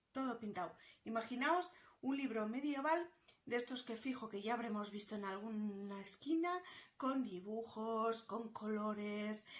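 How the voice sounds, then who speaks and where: Speaking very slowly, this woman has a fairly high voice with ordinary pitch variation. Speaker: book YouTuber. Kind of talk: casual educational vlog.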